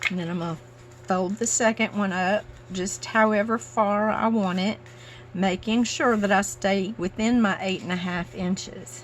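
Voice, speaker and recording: A woman speaks at a medium pitch with an American accent and lively intonation. Her voice is somewhat breathy, and her pace is moderate. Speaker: paper craft youtuber. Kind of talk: crafting tutorial. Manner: casual, chatty.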